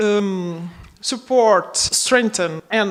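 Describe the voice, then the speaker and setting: A woman speaks over noticeable background noise. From Portugal. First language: Portuguese. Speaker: project coordinator. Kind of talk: conference opening speech. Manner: halting.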